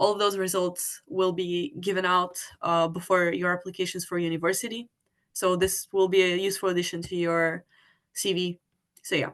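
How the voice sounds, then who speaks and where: A woman speaks in a plain, everyday voice, at a medium pitch and a moderate pace. Her intonation is fairly even, over a quiet background. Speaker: physics competition organiser. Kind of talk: online webinar presentation.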